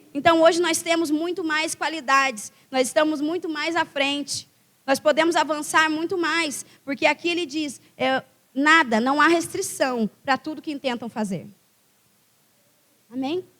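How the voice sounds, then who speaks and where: Loud and animated, a woman speaks fairly slowly at a high pitch in a bright, sharp tone with ordinary pitch variation. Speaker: guest preacher. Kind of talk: sermon.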